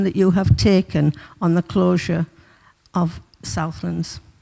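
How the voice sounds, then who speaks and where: Recorded with a dry, close sound and no echo, a woman speaks in a Teesside accent. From northern England, Middlesbrough. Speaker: community campaigner presenting a petition. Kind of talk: public address at council meeting. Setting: council chamber meeting.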